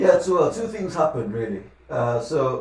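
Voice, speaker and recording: With noticeable background noise and audible room echo, a man talks at a fairly quick pace, his pitch swinging very widely. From Lagos, Nigeria, then UK from age 15. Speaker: financial advisor. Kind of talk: podcast interview.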